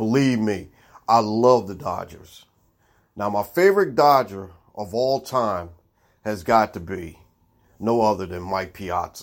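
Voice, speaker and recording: Speaking with an American accent at a fairly slow pace, a man leaves long, frequent pauses, his loudness swinging widely, in a very clean recording with a silent background. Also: ordinary pitch variation. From Baltimore, Maryland, US. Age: middle-aged. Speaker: sports podcast host. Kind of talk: solo sports commentary monologue.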